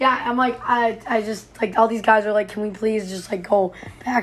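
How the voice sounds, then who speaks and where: Amid noticeable background noise, a woman with a fairly high pitch speaks in a monotone, flat intonation. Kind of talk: casual chat.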